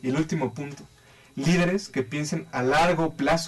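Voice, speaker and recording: A man's somewhat breathy, fairly high voice at a fairly slow pace. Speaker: life and financial advisor. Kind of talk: talk show interview.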